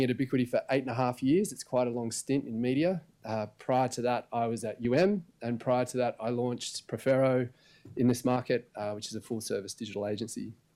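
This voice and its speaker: A man delivers his words fairly quickly at a medium pitch. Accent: Australian. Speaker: media analytics executive. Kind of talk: conference presentation.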